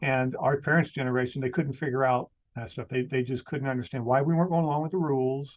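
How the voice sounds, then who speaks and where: A man talks at a very fast pace and a medium pitch. His intonation stays fairly even. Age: 60s. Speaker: podcaster. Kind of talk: casual chat.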